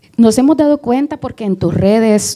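Over a quiet background, a woman speaks at a moderate pace. Her tone is dark and mellow, and her pitch varies in an ordinary way. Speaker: interviewer, event moderator. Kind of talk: interview. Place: stage. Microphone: handheld.

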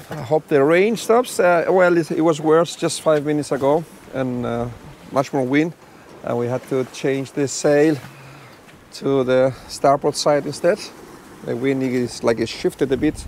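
A man speaks with long, frequent pauses and ordinary pitch variation. The sound is dry with no echo, with light background noise. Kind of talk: casual vlog chat. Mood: relaxed and content. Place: boat. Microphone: lapel.

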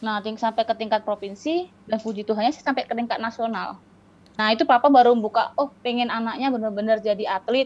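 Here a woman talks at a very fast pace. Her intonation stays fairly even. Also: fairly high pitch for a woman. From Riau, Sumatra, Indonesia. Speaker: para-badminton athlete; guest. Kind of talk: interview. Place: home room. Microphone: video call.

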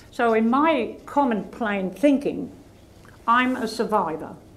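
A woman speaks with an Australian accent. Her voice is fairly high, and her intonation is lively. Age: 80s+. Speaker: author and volunteer counsellor. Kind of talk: interview answer. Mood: firm, earnest. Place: hall. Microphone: lapel.

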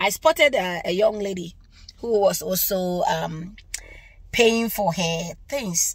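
A woman speaks at a very slow pace in a somewhat breathy voice, with a dry sound and no echo. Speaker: religious vlogger. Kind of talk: casual vlog chat, testimony. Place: car.

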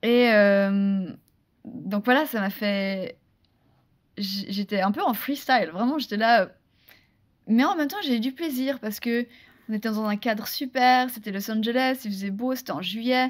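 A woman's fairly high voice at a fairly slow pace, with ordinary pitch variation, long and frequent pauses, and a quiet background. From Switzerland. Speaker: actress and former beauty queen; podcast guest. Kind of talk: interview. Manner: hesitant, many repetitions. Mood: animated, laughing at memories. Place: studio. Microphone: studio mic.

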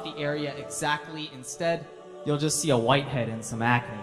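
Music in the background under a man's fairly quick delivery. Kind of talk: spoken word poetry performance, religious reminder.

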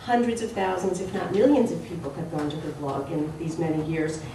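A woman is speaking. Audible room echo and light background noise are present. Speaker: panel moderator. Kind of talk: panel discussion. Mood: warm, reflective. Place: hall. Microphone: camera far.

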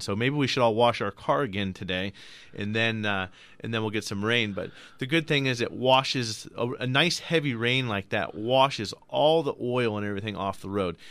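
Speaking at a fairly quick pace, a man has a plain, everyday voice at medium pitch with ordinary pitch variation. The sound is dry with no echo. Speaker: radio car show host. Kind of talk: call-in radio show. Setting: radio studio. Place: studio. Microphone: studio mic.

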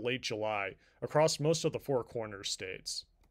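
A man with a plain, everyday voice speaks at medium pitch with lively intonation. The recording is very clean, with a silent background. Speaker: meteorologist. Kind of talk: weather report. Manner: formal; steady, measured, even-paced.

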